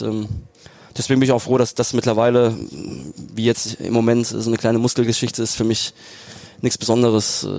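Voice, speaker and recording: A medium-pitched man keeps his speech at a moderate speed. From southern Germany, Lake Constance area. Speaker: professional footballer. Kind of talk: casual interview. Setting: stadium box.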